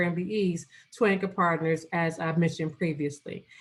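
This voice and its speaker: This woman's voice sits at a fairly low pitch. It is somewhat breathy. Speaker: business program manager. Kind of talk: presentation on a video call. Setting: Zoom video call. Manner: fast; halting with fillers.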